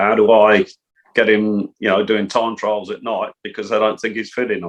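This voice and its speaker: Speaking at a moderate pace, a man with an English accent uses a fairly low pitch and a monotone, flat intonation. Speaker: football coach. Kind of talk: interview. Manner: soft-spoken.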